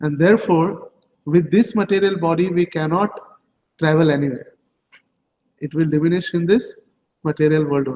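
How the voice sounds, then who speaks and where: A man's voice, high-pitched for a man, dark and mellow in tone, with an Indian accent, a moderate pace, long and frequent pauses, and ordinary pitch variation. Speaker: religious teacher. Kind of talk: scripture class.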